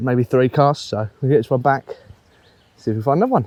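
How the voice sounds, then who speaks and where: A man at medium pitch, very fast, with ordinary pitch variation, a dark, mellow tone and a dry, close sound with no echo. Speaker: angling vlogger. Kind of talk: outdoor vlog commentary. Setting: outdoors on a canal bank. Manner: hesitant, many fillers; hushed at first, then louder.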